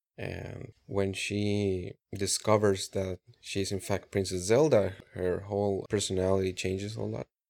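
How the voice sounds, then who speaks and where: In a very clean recording with a silent background, a man with an unremarkable speaking voice talks at a fairly slow pace, his fairly low pitch held in fairly even intonation. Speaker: podcast co-host. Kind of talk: casual chat.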